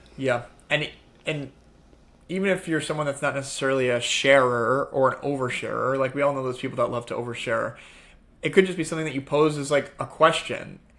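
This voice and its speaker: At a fairly quick pace, a man with fairly high pitch and fairly even intonation talks in an unremarkable speaking voice. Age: young. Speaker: men's self-improvement speaker. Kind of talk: podcast interview.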